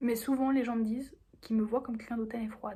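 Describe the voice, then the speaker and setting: Using an unremarkable speaking voice, this woman has a fairly high pitch and fairly even intonation. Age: 18. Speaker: vlogger. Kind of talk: casual vlog monologue.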